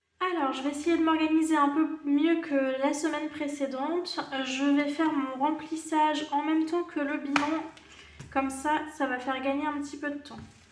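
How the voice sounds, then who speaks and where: This woman speaks at a moderate pace in a high, monotone, flat voice, with audible room echo. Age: 30s. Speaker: budgeting YouTuber. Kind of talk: casual vlog tutorial. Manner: hesitant, many fillers.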